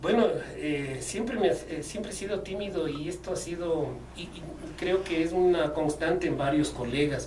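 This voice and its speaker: A man's fairly high-pitched voice at a moderate pace with ordinary pitch variation, amid noticeable background noise and audible room echo. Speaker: sports journalist and radio producer. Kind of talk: interview. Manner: hesitant, many fillers and repetitions.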